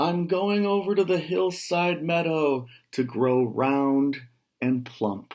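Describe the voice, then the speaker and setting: Fairly high, fairly slow put-on character voice from a man. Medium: read story. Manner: timid, pleading.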